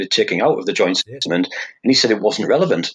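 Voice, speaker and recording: A man talks with a Teesside accent. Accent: northern English (Teesside). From northeast England (Hartlepool, Teesside). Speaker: fingerprint expert. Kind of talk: interview.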